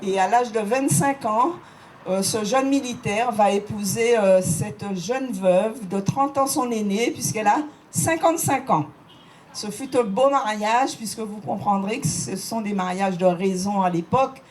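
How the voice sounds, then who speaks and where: Speaking at a fairly slow pace, a woman with a fairly high pitch uses lively intonation while noticeable background noise runs underneath. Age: 70s. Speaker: local history guide. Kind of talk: guided site talk.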